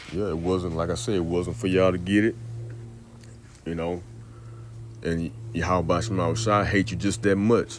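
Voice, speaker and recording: With a very deep, low pitch and vocal fry, a man talks at a moderate pace with lively intonation and long, frequent pauses, and audible room echo surrounds his voice. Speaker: religious teacher. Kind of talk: scripture teaching. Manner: casual.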